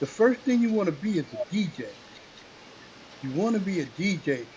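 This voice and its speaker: Noticeable background noise sits behind a man speaking at a moderate pace with a high pitch and lively intonation. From New York City (Queens). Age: 60s. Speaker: hip hop MC. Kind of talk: interview. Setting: radio show.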